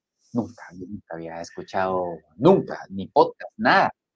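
Recorded dry and close with no echo, a man speaks at a fairly slow pace with very wide pitch swings. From Guatemala. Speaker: spa business executive. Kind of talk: interview conversation.

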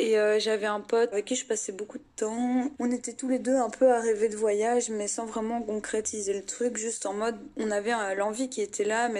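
In a monotone, flat delivery, a woman speaks at a moderate pace. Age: 20s. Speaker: psychology student. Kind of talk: interview testimony.

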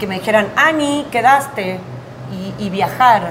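A fairly high female voice at a fairly slow pace, with ordinary pitch variation, audible room echo, and noticeable background noise. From Argentina, Buenos Aires and Tucumán. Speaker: actress and comedian. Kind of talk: casual interview. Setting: café on a busy avenue.

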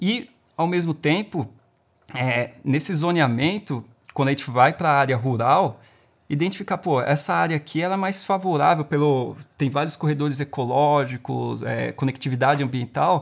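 Heard in a very clean recording with a silent background, a man with a fairly high pitch and lively intonation talks at a moderate pace in a plain, everyday voice. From São Paulo, Perus (Zona Norte). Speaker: environmental impact specialist. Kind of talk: casual interview.

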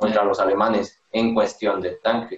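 This man has a Mexican accent. He speaks at a moderate pace with a medium pitch. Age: 20s. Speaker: cook. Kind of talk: casual chat.

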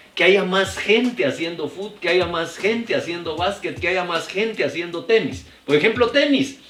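Noticeable background noise sits behind a man speaking. His intonation is lively and his pace moderate. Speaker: sports journalist. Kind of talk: casual interview chat.

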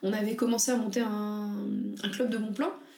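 Audible room echo surrounds a woman's voice, along with noticeable background noise. She talks at a moderate pace. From France, banlieue. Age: 20s. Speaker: entrepreneur. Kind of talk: casual interview chat.

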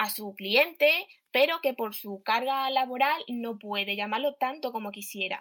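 A woman's high-pitched voice at a moderate pace, with ordinary pitch variation, in a very clean recording with a silent background. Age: young. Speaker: startup founder. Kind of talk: pitch presentation.

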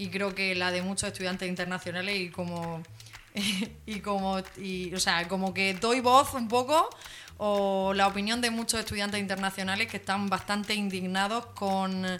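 In a normal speaking voice, a woman talks at a moderate pace with a medium pitch and fairly even intonation. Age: 20s. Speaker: radio co-host. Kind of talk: casual chat.

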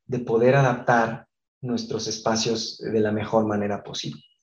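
Dark, mellow tone from a man, somewhat breathy throughout. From Mexico, Guadalajara. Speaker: architect. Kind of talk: interview. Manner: hesitant fillers.

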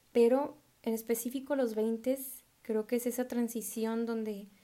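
Her tone dark and mellow, a woman speaks at a fairly slow pace with monotone, flat intonation. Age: 20s. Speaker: podcaster. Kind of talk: casual monologue.

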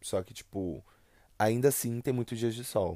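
A man's dark, mellow voice with a São Paulo accent, in a dry, close sound with no echo and a very clean recording with a silent background. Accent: São Paulo (paulista). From São Paulo state, Brazil. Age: 20s. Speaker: podcaster. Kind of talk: solo monologue. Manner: casual, rambling with hesitations.

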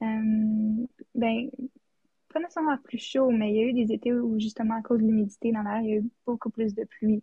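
Music sounds in the background. A woman speaks with fairly even intonation. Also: fairly high pitch for a woman, moderate pace. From Yukon, Canada (Whitehorse). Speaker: student podcast co-host. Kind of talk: casual chat.

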